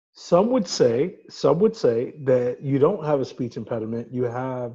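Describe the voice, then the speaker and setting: A dark, mellow, somewhat breathy voice with a Brooklyn accent. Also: man. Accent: New York (Brooklyn). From New York City, Brooklyn. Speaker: podcast co-host. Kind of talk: casual chat. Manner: teasing, interrupting.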